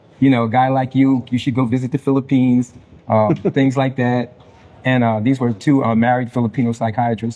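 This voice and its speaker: Speaking at a fairly quick pace in an American accent, a man keeps a medium pitch, monotone, flat intonation and very even loudness. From United States. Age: 60s. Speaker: retired counselor. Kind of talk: interview. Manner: halting.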